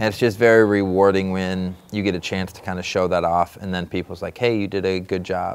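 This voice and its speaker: With an American accent, a man talks fairly quickly with hardly any pauses in a very deep, low voice. His intonation is monotone and flat, while his loudness swings widely. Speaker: former MMA fighter turned commentator. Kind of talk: interview.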